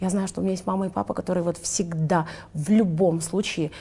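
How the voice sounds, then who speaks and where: The speaker is a woman with a fairly low pitch. Her pace is moderate. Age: 20s. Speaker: influencer and entrepreneur. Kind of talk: interview conversation.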